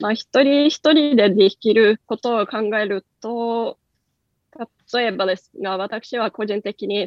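A very slow, fairly high-pitched woman's voice with ordinary pitch variation and big swings in loudness. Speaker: company executive. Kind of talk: radio interview.

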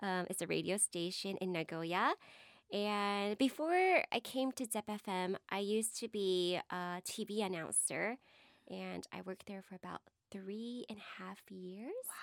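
In an American accent, a woman with a normal speaking voice talks at a medium pitch and a fairly slow pace, in a very clean recording with a silent background and a dry, close sound with no echo. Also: ordinary pitch variation. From Texas. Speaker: radio presenter, podcast co-host. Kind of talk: casual chat.

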